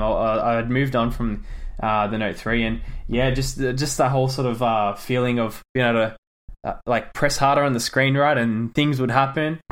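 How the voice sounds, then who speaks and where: A man with an Australian accent at a moderate pace. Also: very clean recording, silent background. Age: 20s. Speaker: app developer. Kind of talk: interview. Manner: hesitant, many fillers and repetitions.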